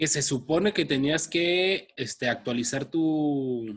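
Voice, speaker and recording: This voice carries a Mexican accent. Its pitch variation is ordinary. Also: man. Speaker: podcast co-host. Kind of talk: casual chat. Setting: recording from home.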